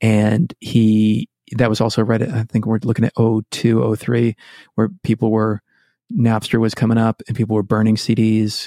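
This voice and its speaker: A man speaks at a moderate pace in an American accent, his medium-pitched voice dark and mellow with monotone, flat intonation and very even loudness. The sound is dry and close with no echo, on a very clean recording with a silent background. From Massachusetts, Worcester area. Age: 40s. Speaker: musician. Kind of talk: casual chat.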